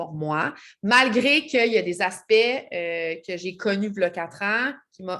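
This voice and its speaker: The recording is very clean, and the background is silent. A woman talks with lively intonation. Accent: Quebec. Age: 30s. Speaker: network marketing seller. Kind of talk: vlog self-introduction. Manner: hesitant, many fillers.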